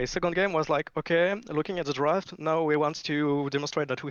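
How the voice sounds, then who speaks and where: Speaking with a French accent, the man has a fairly high pitch. His pace is fairly quick, and his pitch variation is ordinary. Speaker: esports team coach or captain interviewed. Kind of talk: post-match interview.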